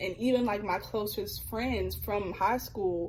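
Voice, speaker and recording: Against noticeable background noise, a woman with a Birmingham, Alabama accent speaks at medium pitch and a moderate pace with fairly even intonation. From US South, Birmingham, Alabama. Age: 20s. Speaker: student vlogger. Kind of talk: personal reflection monologue. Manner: casual, conversational.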